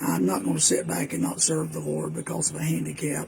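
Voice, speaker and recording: A man with an American accent at a fairly quick pace, over noticeable background noise. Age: 60s. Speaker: preacher. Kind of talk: casual talk. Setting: outdoors on back porch. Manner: halting.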